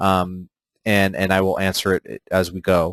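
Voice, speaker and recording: The background is quiet. The sound is dry and close, with no echo. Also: man. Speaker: software trainer. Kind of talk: online training webinar. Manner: fast; casual, filler-heavy.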